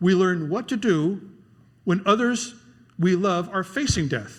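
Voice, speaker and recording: A man talks at a fairly slow pace with lively intonation. His pitch is high. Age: 60s. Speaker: guest preacher. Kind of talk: sermon.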